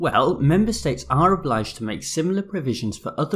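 A man in a British accent, lively intonation, on a very clean recording with a silent background. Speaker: law podcast host. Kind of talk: scripted explainer monologue.

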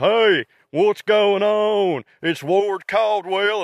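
A man speaks very slowly and loudly in a put-on character voice pitched high. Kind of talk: casual, folksy. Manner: loud, exaggerated, energetic.

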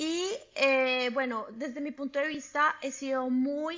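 Fairly even in intonation, the speech unfolds at a very slow pace. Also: woman. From Colombia. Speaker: chemical engineer, immigrant. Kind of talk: interview.

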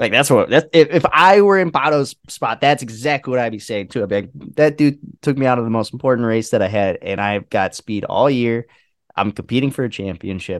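With an American accent, a man talks fairly quickly at a medium pitch with lively intonation, recorded dry and close with no echo. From Indiana/Illinois border area, US Midwest. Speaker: podcast co-host. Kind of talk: casual chat.

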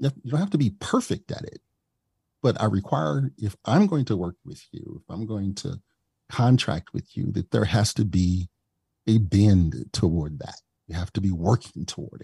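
This man has a fairly low pitch and a dark, mellow tone, somewhat breathy, with an American accent. He talks at a moderate pace with lively intonation and big swings in loudness, and the sound is dry and close with no echo. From US Midwest, East St. Louis, Illinois. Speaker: diversity, equity and inclusion consultant. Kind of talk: interview.

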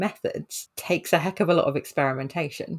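A woman speaks with a British accent at a fairly low pitch, a moderate pace and ordinary pitch variation. The recording is very clean, with a silent background. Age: 30s. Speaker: occupational therapist. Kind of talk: casual chat.

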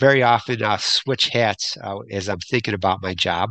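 A fairly low-pitched man's voice with a bright, sharp tone, ordinary pitch variation and a moderate pace

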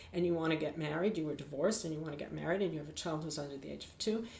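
Speaking with an American accent, a woman has an ordinary speaking voice. Her pitch is fairly low, with ordinary pitch variation. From United States. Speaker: attorney and women's rights advocate. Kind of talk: interview.

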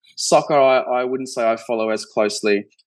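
With an Australian accent, a man speaks at a fairly quick pace in a medium pitch and fairly even intonation against a quiet background. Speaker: healthcare investor, former physiotherapist. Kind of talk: interview conversation. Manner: hesitant, many fillers.

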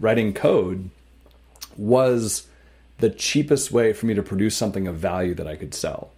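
This man has a Canadian accent and a fairly low pitch, with a dark, mellow tone. He speaks at a fairly slow pace with lively intonation and big swings in loudness. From Canada, small town. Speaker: tech startup co-founder and CTO. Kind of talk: interview.

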